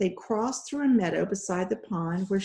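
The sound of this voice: What you hear is an unforced reading voice.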